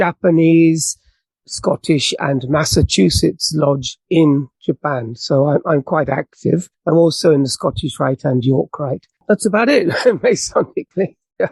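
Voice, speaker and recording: Someone with a British accent talks at a fairly slow pace. The sound is dry and close, with no echo. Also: man, fairly high pitch for a man, ordinary pitch variation. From England. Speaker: author and Masonic podcast host. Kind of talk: podcast interview.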